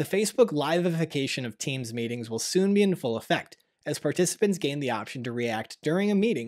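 Over a quiet background, a man talks at a fairly quick pace with very wide pitch swings. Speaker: tech news show host. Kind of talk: news presentation. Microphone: studio mic.

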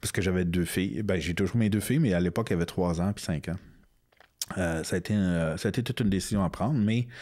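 Dark, mellow tone from a man with ordinary pitch variation against a quiet background. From Quebec, Outaouais (north of Gatineau); Quebec. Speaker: comic book author and illustrator; comic book author. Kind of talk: interview. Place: studio. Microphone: studio mic.

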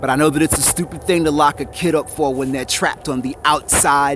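Noticeable background noise sits under a dry sound with no echo as a man with a fairly high pitch talks at a moderate pace with fairly even intonation. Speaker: poet. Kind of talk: spoken-word poem performance about graffiti. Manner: rhythmic, punchy, defiant delivery. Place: street. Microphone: phone near.

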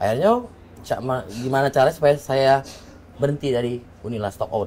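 A man's fairly quick speech broken by long, frequent pauses, over light background noise. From Palembang, Indonesia. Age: 30s. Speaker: deputy mayoral candidate, former legislator. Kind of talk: interview, casual chat. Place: studio. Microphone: lapel.

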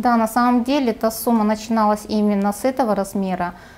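A woman speaks at a fairly high pitch and a moderate pace. Her intonation stays flat and monotone. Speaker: pension fund official. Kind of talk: TV interview. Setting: studio. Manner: formal. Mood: calm, informative. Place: studio. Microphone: lapel.

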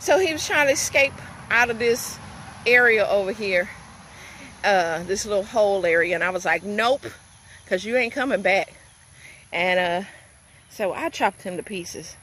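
A woman at a moderate pace with lively intonation and long, frequent pauses, in a dry sound with no echo and light background noise. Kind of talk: casual vlog chat. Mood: amused, recounting snake encounter. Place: garden. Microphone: phone near.

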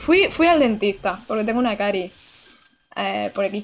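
A woman talks in an animated tone with very wide pitch swings. There is light background noise. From Andalusia, Almería; Andalusia, Spain. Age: 20s. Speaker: gaming streamer. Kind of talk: live gameplay commentary. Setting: home streaming setup. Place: home room.

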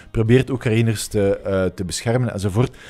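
This man has a Flemish accent and a dark, mellow tone. He talks at a fairly quick pace with ordinary pitch variation. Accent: Flemish Dutch. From Flanders, Belgium. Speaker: politician. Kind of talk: interview. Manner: hesitant, many fillers. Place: studio. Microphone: studio mic.

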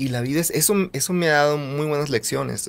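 This man's voice sits fairly high, with ordinary pitch variation. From northern Mexico, Nogales (Sonora border); Sonora, Mexico. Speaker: singer-songwriter; guest. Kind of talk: interview testimony. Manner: halting, repetitive. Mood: earnest, reflective. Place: studio. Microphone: studio mic.

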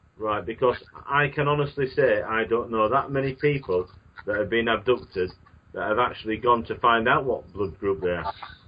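A man speaks with a British accent. His pace is moderate and his pitch varies in an ordinary way. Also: medium pitch for a man. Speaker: radio host. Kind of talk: interview. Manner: halting.

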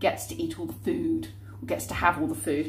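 At a fairly quick pace, a woman talks over light background noise. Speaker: vlogger. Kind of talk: casual vlog chat. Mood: cheerful, animated. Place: kitchen. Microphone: phone near.

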